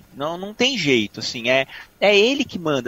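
Intonation is lively in this dry, close sound with no echo. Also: man. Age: 30s. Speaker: journalist and former streaming communications executive. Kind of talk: interview conversation. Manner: halting, many repetitions.

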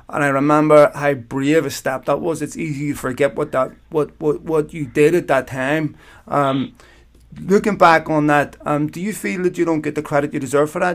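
At a moderate pace and with fairly even intonation, the speech comes in a Northern Irish accent, in a very clean recording with a silent background. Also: man, fairly high pitch for a man. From Belfast, Northern Ireland. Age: 40s. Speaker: podcast host. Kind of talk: interview.

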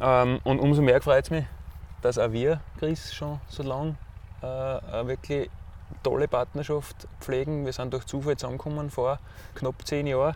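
A man speaks with an Austrian accent in a monotone, flat intonation. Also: fairly high pitch for a man, moderate pace. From Austria, Styria (Enns valley). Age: 40s. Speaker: ultra trail runner. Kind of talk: interview. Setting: outdoors.

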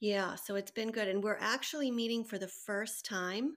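On a very clean recording with a silent background, a woman with a fairly high pitch uses an ordinary speaking voice at a moderate pace with fairly even intonation. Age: 50s. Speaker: psychotherapist and heart patient. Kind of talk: casual interview.

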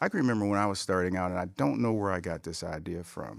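A man with a normal speaking voice and an American accent, fairly low in pitch, on a very clean recording with a silent background. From Cleveland, Ohio. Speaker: business executive. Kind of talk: interview. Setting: studio.

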